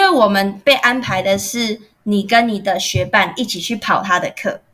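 A woman speaks very slowly with a fairly high pitch. Her tone is bright and sharp. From Taiwan, Taoyuan. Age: young. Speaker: university student. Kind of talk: casual interview. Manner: poised, articulate.

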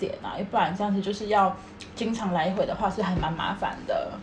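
A woman with a Taiwanese accent talks at a fairly quick pace with fairly even intonation. Audible room echo and noticeable background noise are present. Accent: Taiwanese Mandarin. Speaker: podcast co-host. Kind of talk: casual chat.

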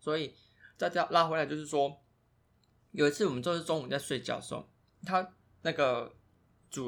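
A man in a Taiwanese accent, fairly high in pitch with ordinary variation, at a moderate pace on a very clean recording with a silent background. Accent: Taiwanese Mandarin. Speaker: podcast co-host. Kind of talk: casual chat.

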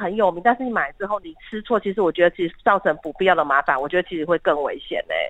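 A woman talks at a very fast pace with hardly any pauses. Her intonation is lively. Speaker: hospital pharmacist. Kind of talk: casual interview.

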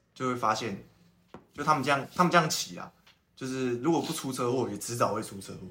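Talking at a fairly quick pace, a man uses a medium pitch and lively intonation. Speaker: podcast host. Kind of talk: casual chat. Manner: animated.

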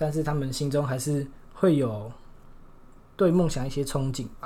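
The voice has a dark, mellow tone, is somewhat breathy with fairly even intonation, and carries audible room echo. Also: man. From Taiwan, Shulin (New Taipei). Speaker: university student. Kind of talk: casual chat.

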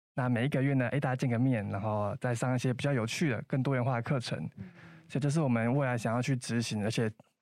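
Recorded very cleanly against a silent background, a man at medium pitch speaks very fast with fairly even intonation. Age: 20s. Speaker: coding instructor and student volunteer team leader. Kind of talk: interview.

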